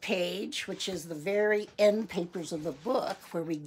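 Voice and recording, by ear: This is reading aloud in a natural voice. The words are read out in that manner throughout.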